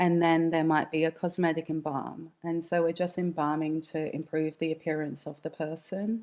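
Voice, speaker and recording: In an Australian accent, a woman speaks with a fairly low pitch and flat, monotone intonation. She keeps a moderate pace with hardly any pauses, on a very clean recording with a silent background. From Western Australia. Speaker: mortician and embalmer. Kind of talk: interview conversation.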